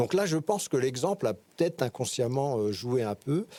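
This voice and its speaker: A man holds a medium pitch and keeps to a moderate pace. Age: 60s. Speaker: interview guest, father of four. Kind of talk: podcast interview. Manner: halting, many hesitations and repetitions.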